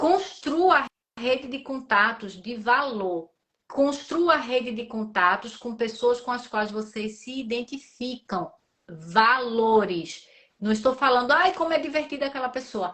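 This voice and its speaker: With lively intonation, a woman talks at a fairly slow pace in a high voice. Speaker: entrepreneur. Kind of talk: live stream interview.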